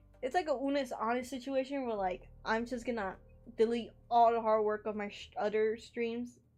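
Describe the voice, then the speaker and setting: A woman with a slight Spanish accent, music in the background. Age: 18. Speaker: streamer. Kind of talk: casual livestream chat.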